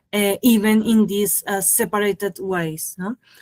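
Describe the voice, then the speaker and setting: Recorded very clean with a silent background and a dry, close sound with no echo, a woman with a Colombian accent speaks in monotone, flat intonation. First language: Spanish. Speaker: animator and filmmaker. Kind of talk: interview. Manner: halting, many fillers.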